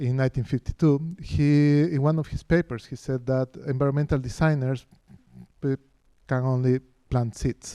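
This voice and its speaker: A man with a Spanish accent speaks at a medium pitch in a dark, mellow tone. His intonation stays fairly even. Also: moderate pace, dry, close sound with no echo. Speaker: professor of architecture. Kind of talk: lecture. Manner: halting, many fillers and restarts.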